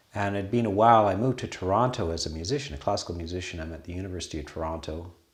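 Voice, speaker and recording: In a Canadian accent, a man with a very deep, low pitch talks at a very fast pace, somewhat breathy, with big swings in loudness and audible room echo. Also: ordinary pitch variation. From western Canada. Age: 60s. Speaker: Buddhist monastery abbot. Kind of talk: casual conversation.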